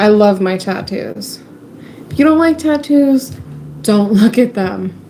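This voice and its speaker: Lively intonation at a fairly slow pace, with noticeable background noise. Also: woman, fairly high pitch for a woman. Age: 20s. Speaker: livestreamer. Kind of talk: casual chat. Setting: home livestream.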